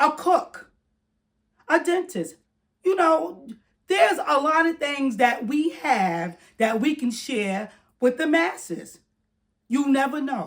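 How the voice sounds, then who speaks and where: Loud and at a very slow pace, a woman speaks in a high pitch with very wide swings and long, frequent pauses. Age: 60s. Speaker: retired YouTuber giving advice. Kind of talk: casual talk to camera. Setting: at home, corner of house.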